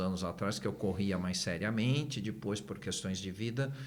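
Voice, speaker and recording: Lively intonation marks this man's speech. Both noticeable background noise and audible room echo can be heard. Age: 60s. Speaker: therapist and neurolinguistic programming trainer. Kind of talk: podcast interview.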